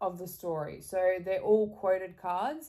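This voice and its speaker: In an Australian accent, a woman speaks with a dark, mellow tone. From Australia, Geelong near Melbourne. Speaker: YouTuber and podcaster. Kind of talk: interview.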